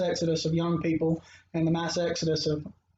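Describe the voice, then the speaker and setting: A man with a Mississippi accent speaks at a very fast pace and a high pitch. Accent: Mississippi Southern US. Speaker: anthropologist. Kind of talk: interview conversation. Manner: hesitant, many fillers.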